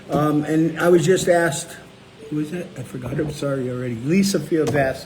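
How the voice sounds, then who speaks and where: Amid noticeable background noise, a man talks at a fairly quick pace in a fairly high pitch with fairly even intonation. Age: 60s. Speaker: low-carb cookbook author and show host. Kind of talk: casual live chat answering viewer questions.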